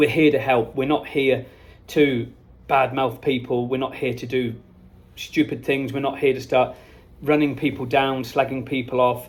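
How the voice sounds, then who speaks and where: This man speaks with an English accent at a moderate pace. His pitch sits in the medium range. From England. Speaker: company owner vlogging from a trade show. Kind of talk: casual vlog monologue. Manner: animated.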